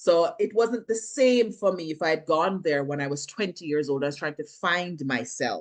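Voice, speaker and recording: A woman with a Jamaican accent, very deep and low in pitch, at a fairly quick pace with lively intonation. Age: 40s. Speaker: actress and filmmaker. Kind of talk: interview.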